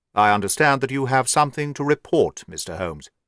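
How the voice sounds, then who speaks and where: Speaking at a very fast pace with lively intonation, a man puts on a character voice at a medium pitch, the sound dry and close with no echo. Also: very clean recording, silent background. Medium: read story. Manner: subdued.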